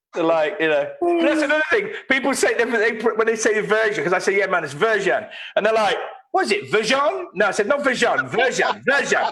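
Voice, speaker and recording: Speaking at a fairly quick pace, a man uses a high, raised and projected voice with very wide pitch swings and very even loudness. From England, Leicester. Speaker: ska musician. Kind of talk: casual chat.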